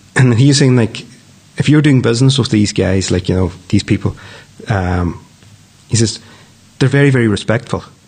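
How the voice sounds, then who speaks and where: A man with a Donegal accent speaks at a moderate pace in a medium pitch, with ordinary pitch variation, very even loudness, and long, frequent pauses. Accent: Donegal Irish. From Ireland, County Donegal (Downings). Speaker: news editor and media company director. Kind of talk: casual interview. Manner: hesitant, with fillers and repetitions.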